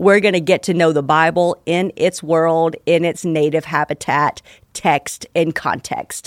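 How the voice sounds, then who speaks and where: Speaking at a fairly slow pace with fairly even intonation, a woman has an unremarkable speaking voice, captured dry and close with no echo in a very clean recording with a silent background. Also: fairly low pitch for a woman. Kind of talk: guided prayer. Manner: calm, slow, unhurried; soft-spoken, gentle, reflective.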